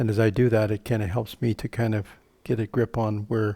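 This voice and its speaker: At a moderate pace, a man with a medium-pitched voice speaks in a dark, mellow tone with fairly even intonation on a very clean recording over a silent background. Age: 70s. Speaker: pastor. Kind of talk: casual chat.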